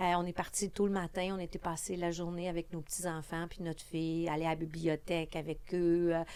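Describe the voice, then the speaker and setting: Barely pausing, a woman talks at a fairly quick pace in a fairly low pitch, with a dark, mellow tone and monotone, flat intonation. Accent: Quebec. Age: 60s. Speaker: politician. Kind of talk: podcast interview.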